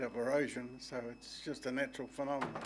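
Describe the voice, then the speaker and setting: A man in a New Zealand accent, medium pitch, fairly even intonation and fairly quick pace, with audible room echo. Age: 80s+. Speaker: soil consultant making a public submission. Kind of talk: public submission to council. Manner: halting.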